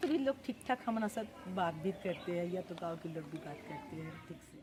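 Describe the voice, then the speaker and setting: A woman with a Bengali accent speaks at a moderate pace with lively intonation over noticeable background noise. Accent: Bengali-accented Hindi. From Bengal, India. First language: Bengali (speaking Hindi). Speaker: social worker at a children's home. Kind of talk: interview.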